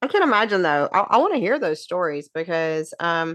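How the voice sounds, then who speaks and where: A woman speaks at medium pitch. She has a Southern US accent. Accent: Southern twang. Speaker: podcast co-host. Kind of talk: casual chat.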